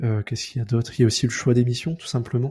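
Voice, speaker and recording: A man talks at a medium pitch with fairly even intonation and a dark, mellow tone. His voice is somewhat breathy, and the sound is dry and close with no echo. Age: 20s. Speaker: freelance front-end developer. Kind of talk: casual interview.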